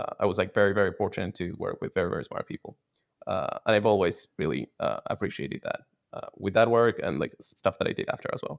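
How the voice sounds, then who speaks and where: Recorded with a dry, close sound and no echo, a man speaks at a very fast pace. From Argentina. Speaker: technologist and founder. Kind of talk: interview answer.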